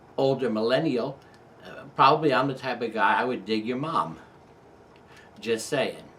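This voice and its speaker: With an American accent and a medium-pitched voice, a man speaks at a moderate pace with ordinary pitch variation and long, frequent pauses, against noticeable background noise. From New York. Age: 50s. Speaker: photography YouTuber. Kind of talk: casual personal storytelling monologue. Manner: pauses between sentences.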